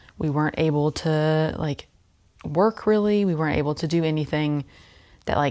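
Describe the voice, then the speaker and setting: On a very clean recording with a silent background, a soft-spoken woman talks at a moderate pace in a very deep, low voice. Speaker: knitting YouTuber. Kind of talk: casual chat. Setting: indoors at a rental home. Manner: filler-heavy, um and like.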